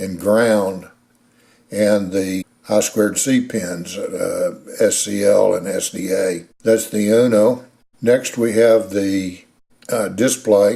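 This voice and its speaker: With a Texas accent, a man speaks very slowly in a dark, mellow tone at a fairly low pitch and fairly even intonation. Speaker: hobbyist machinist and maker. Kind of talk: tutorial. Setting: home workshop. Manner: halting, frequent fillers; casual, folksy.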